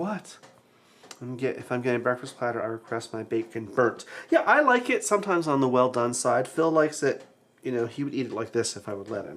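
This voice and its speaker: Very fast male speech with big swings in loudness. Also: medium pitch for a man, ordinary pitch variation. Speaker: cooking show co-host. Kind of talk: live cooking demonstration. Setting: kitchen livestream. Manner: casual, chatty.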